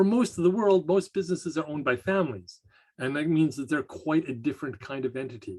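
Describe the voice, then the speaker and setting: Speaking with a Canadian accent, a man talks at a very fast pace with a fairly high pitch and lively intonation. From Canada. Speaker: college lecturer. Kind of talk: lecture. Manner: measured, some hesitations.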